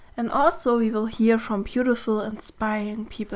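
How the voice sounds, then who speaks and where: Speaking with a German accent, a woman uses a fairly high pitch and fairly even intonation. The recording is very clean, with a silent background. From Germany. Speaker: mentor and podcast host. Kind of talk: podcast monologue. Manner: gentle, warm.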